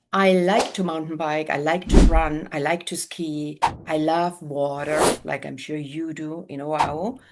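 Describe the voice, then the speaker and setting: The speaker talks at a fairly slow pace with a German accent. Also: woman. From Germany. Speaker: realtor. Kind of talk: interview. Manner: animated.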